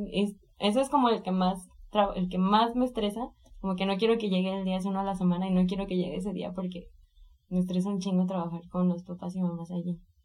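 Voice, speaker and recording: Very fast speech from a woman of medium pitch, with ordinary pitch variation. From Mexico, Colima. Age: 20s. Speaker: illustrator and art workshop teacher. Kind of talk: interview.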